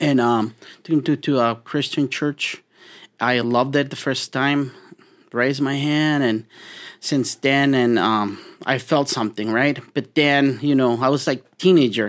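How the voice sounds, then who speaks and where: A man with a Spanish accent speaks at a medium pitch and a fairly slow pace, with fairly even intonation and long, frequent pauses. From Mexico. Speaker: meal prep business owner. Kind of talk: interview conversation. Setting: studio.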